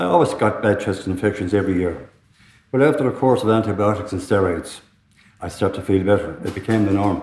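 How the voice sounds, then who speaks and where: A man's fairly low, somewhat breathy voice with an Irish accent, very fast with ordinary pitch variation, in audible room echo. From Ireland, Tipperary. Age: 60s. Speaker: lung transplant recipient. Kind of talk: testimony.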